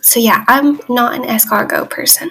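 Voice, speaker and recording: A high-pitched female voice talks at a moderate speed while noticeable noise fills the background. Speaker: exchange student video journaling. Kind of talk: casual video diary. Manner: halting.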